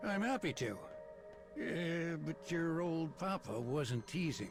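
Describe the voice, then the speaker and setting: Clear music plays behind a man doing a put-on character voice. He goes at a fairly slow pace with a fairly high pitch. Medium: video game. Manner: jokey, casual, affectionate.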